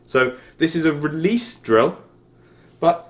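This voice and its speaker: In a southern English accent, a man speaks at a fairly slow pace. His pitch is high. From South West England, Exeter. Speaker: golf coach. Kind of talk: tutorial. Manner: casual, conversational.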